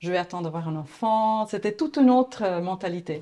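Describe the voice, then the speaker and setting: A woman's dark, mellow voice with an Italian accent. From Italy, Florence. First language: Italian (speaking French). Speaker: agency founder, graphic designer. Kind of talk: interview. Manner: hesitant.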